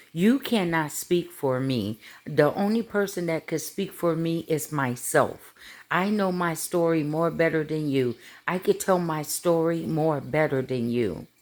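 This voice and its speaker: A woman with an American accent, very deep and low in pitch, animated in tone with lively intonation at a fairly slow pace, in a very clean recording with a silent background. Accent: sounds proper, per others. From US Midwest, South Bend, Indiana. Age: 50s. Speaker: social media vlogger. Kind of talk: casual monologue.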